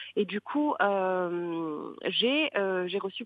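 The speaker is a woman. She talks with lively intonation. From Morocco, Marrakech. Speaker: social media influencer and digital entrepreneur. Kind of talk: interview. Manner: hesitant, many fillers.

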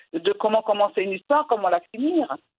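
Very wide pitch swings in a Moroccan accent. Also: woman. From Morocco. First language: Moroccan Arabic (speaking French). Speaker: storyteller and writer. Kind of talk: interview. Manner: halting.

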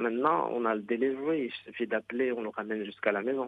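A man's normal speaking voice at medium pitch, fairly quick, with ordinary pitch variation. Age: 40s. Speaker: surgeon. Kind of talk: interview.

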